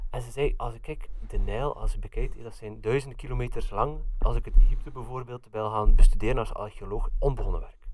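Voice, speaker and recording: Speaking at a fairly quick pace with a Flemish accent, a man makes big swings in loudness. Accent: Flemish Dutch. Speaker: podcast co-host. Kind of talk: casual chat. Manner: halting.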